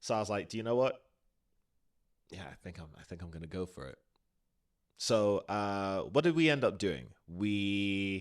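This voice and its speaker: A man with a British accent speaks in an animated tone, his fairly low voice carrying lively intonation. The recording is very clean, with a silent background. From South Florida (Broward County). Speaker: podcast co-host, stage performer. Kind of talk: casual chat.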